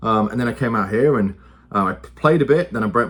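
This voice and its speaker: Someone with an English accent talks at a very fast pace with lively intonation. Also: man. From England. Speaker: youth football coach and football commentator. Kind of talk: casual monologue. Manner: conversational, with many fillers.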